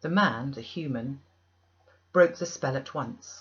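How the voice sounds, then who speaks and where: A woman's somewhat breathy voice with very wide pitch swings, at a fairly slow pace. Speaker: audiobook reader. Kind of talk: audiobook narration of a classic novel.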